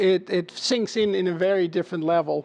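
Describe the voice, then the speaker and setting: A man with a high-pitched voice and a Dutch accent speaks at a moderate pace. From Netherlands. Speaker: chief marketing officer. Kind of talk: interview. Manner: hesitant, many filler sounds.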